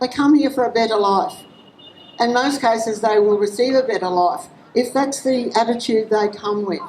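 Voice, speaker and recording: Speaking with an Australian accent, a woman keeps a moderate pace and a fairly high pitch. Her pitch variation is ordinary, and noticeable background noise is present. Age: 60s. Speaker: rally speaker. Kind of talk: public speech at a rally. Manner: halting.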